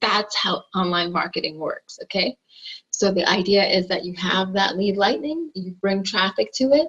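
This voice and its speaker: Using a normal speaking voice, a woman talks at a medium pitch and moderate pace with lively intonation. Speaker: online marketer. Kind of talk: tutorial.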